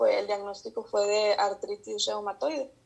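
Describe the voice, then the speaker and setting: A woman with a Mexican accent at a moderate pace against a quiet background. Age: 30s. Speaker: psychologist. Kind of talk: interview. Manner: hesitant, many fillers.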